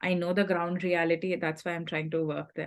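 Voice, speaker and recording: A woman speaks at a medium pitch with a Telugu accent. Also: quiet background. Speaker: scholarship recipient sharing advice. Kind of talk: workshop talk.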